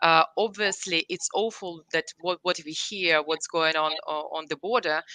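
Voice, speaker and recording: A woman speaks in a Russian accent with a fairly low pitch and a bright, sharp tone. Her intonation stays fairly even, and the sound is dry and close with no echo over a quiet background. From Ukraine, Kyiv. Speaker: company CEO. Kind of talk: interview. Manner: halting, many fillers.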